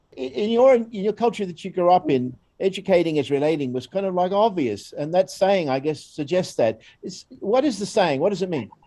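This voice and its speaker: With an Australian accent, a man speaks at a fairly quick pace in a high pitch, his dark, mellow tone carried by lively intonation. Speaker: educator, volunteer program staff. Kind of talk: presentation. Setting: recorded video. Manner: hesitant, many fillers.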